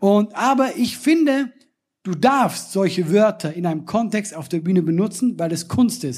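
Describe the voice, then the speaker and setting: A man with a Swiss German accent, high-pitched and lively in intonation, at a moderate pace. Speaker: comedian and podcast host. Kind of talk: live podcast recording with audience banter. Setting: live stage with audience, outdoors in rain.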